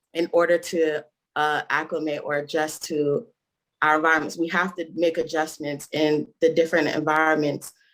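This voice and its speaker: The voice has an American accent. It moves at a fairly slow pace. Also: woman. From Nigeria. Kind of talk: casual chat. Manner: halting, many fillers.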